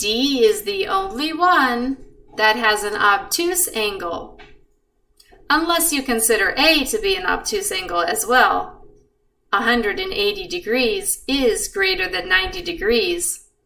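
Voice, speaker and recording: This woman speaks at a fairly slow pace in a high pitch with very wide pitch swings, and audible room echo surrounds her voice. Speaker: math teacher. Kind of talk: tutorial. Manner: calm.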